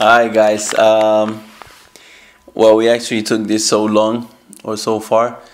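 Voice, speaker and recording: In a room with audible echo, a man speaks very slowly at a fairly low pitch, his intonation monotone and flat, with long, frequent pauses. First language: Spanish. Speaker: online business youtuber. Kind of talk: casual chat.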